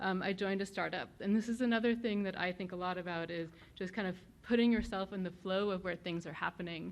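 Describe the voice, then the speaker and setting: A woman talks at a very fast pace with a German accent. Her intonation stays fairly even. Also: medium pitch for a woman. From Germany, moved to New Jersey as a child. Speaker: venture capital investor, guest speaker. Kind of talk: talk to students.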